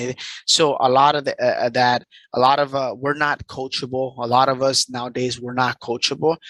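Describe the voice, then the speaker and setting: At a fairly quick pace, a man with a Spanish accent speaks at a medium pitch in a monotone, flat way, the sound dry and close with no echo and the background quiet. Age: 30s. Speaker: entrepreneur and life coach. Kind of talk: interview. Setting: video call. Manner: halting.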